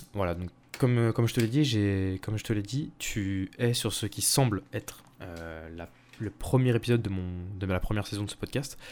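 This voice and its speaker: In a very clean recording with a silent background, a man with a fairly low pitch talks at a fairly slow pace, his loudness swinging widely while his pitch varies in an ordinary way. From Paris region, France. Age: 20s. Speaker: student podcaster. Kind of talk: casual solo monologue. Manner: hesitant, many fillers.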